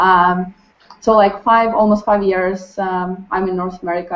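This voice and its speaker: A woman speaks with a Ukrainian accent. Her voice sits at a medium pitch and moves at a moderate pace. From Ukraine. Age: 20s. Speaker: restaurant server. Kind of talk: group introduction. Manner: halting, many fillers.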